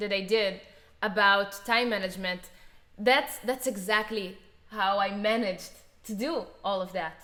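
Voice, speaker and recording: A woman with a non-native accent, fairly high-pitched and bright, sharp in tone, at a moderate pace with ordinary pitch variation. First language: not English. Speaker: musician and video creator. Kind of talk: casual chat.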